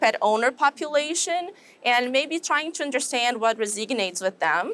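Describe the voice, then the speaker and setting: A woman with a Brazilian Portuguese accent, high pitch, moderate pace and lively intonation. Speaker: animal science professor. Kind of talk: interview.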